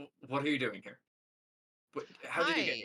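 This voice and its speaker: This put-on character voice is gruff, with a low-to-middle pitch and a moderate pace. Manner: startled, demanding.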